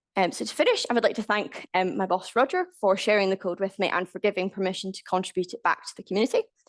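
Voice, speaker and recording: With hardly any pauses, a woman talks at a very fast pace and fairly even intonation, in a dry, close sound with no echo. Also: medium pitch for a woman. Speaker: scientific software developer, conference speaker. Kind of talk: conference talk.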